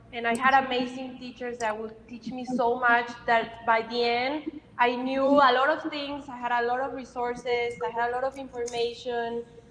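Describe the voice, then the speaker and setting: Noticeable background noise sits under a woman speaking at a high pitch and moderate pace in a monotone, flat intonation with hardly any pauses. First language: Spanish. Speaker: cosmetics company director. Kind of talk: panel discussion. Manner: halting.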